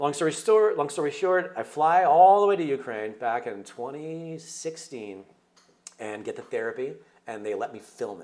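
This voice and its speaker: Animated in tone, a man with a fairly high voice makes very wide pitch swings and big swings in loudness. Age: 50s. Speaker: documentary filmmaker. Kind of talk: interview. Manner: fast.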